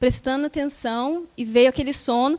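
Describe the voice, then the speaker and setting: In a very clean recording with a silent background, a soft-spoken woman talks at a high pitch with fairly even intonation. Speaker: spiritist lecturer. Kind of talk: lecture.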